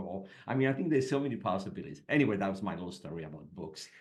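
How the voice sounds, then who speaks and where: A man talks with ordinary pitch variation. Room echo is audible around him. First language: French. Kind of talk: casual chat.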